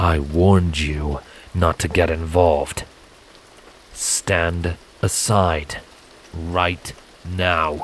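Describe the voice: In a put-on character voice, the speaker goes at a very slow pace with little pitch movement. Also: man, low pitch for a man.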